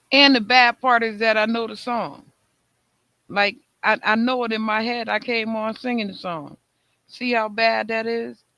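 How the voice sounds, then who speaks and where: A man with high pitch and a bright, sharp tone uses a raised, projected voice with fairly even intonation. He leaves long, frequent pauses in a very clean recording with a silent background. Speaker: talk show host. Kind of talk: casual chat. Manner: slow.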